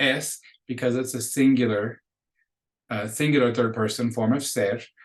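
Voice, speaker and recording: This man has a plain, everyday voice at a medium pitch. He keeps a moderate pace and fairly even intonation. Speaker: Spanish teacher. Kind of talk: recorded lecture.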